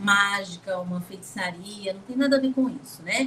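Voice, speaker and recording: A woman speaks with ordinary pitch variation, keeping to a moderate pace. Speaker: lecturer on acupuncture. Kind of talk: lecture. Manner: animated.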